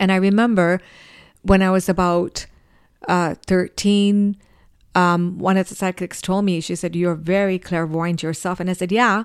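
In a very clean recording with a silent background, a woman speaks at a medium pitch. Her pace is moderate and her intonation monotone and flat. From Africa. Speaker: psychic medium. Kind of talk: interview.

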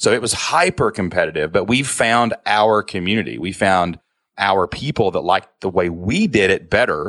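Against a quiet background, a man with a Kentucky accent speaks at a moderate pace in a dry, close sound with no echo. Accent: Kentucky Southern US. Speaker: online business owner and podcaster. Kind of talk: casual interview conversation. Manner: casual, animated.

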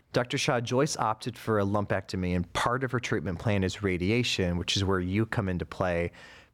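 In a very clean recording with a silent background, a man with an unremarkable speaking voice and a fairly low pitch talks at a fairly quick pace, with ordinary pitch variation, very even loudness and hardly any pauses. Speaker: podcast host. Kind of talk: interview.

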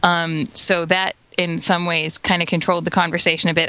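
The speaker has an American accent and a fairly quick pace. Background noise is noticeable. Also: woman. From Florida, US. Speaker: podcast guest. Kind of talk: casual chat. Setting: video call.

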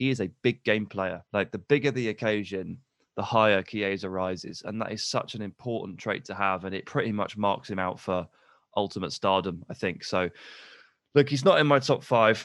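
A man at a moderate pace and fairly low pitch, with ordinary pitch variation, over a quiet background. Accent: English. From England. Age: 30s. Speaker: football pundit. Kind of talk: casual chat.

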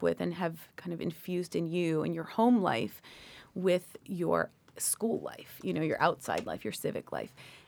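In a very clean recording with a silent background, a woman with a Canadian accent and a fairly low pitch speaks fairly slowly in a plain, everyday voice. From Canada, Toronto. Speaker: lawyer and professor. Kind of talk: interview.

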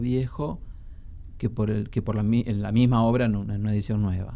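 A man with a Rioplatense accent at a fairly quick pace. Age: 40s. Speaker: antiquarian bookseller and book collector. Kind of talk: radio interview.

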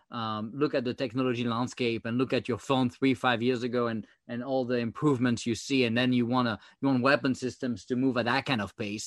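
In a French accent, a man speaks fairly quickly at a medium pitch with monotone, flat intonation over a quiet background. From France. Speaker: former government software chief. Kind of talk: interview. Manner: halting, many fillers.

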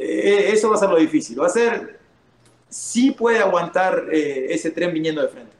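A man with a high voice, very wide pitch swings and a Rioplatense accent. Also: moderate pace. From Uruguay. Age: 30s. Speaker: MMA fighter. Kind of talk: casual chat.

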